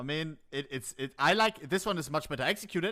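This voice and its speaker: Lively in intonation and bright, sharp in tone, a man talks with a German accent. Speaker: Twitch streamer. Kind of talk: casual chat. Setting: live stream. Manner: animated; halting, many fillers.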